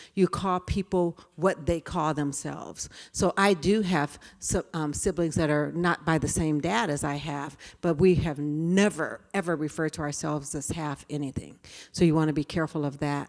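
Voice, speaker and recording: A woman with an American accent speaks at a moderate pace in a very deep, low voice with fairly even intonation, recorded very cleanly with a silent background. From California. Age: 60s. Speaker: diversity trainer. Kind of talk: lecture.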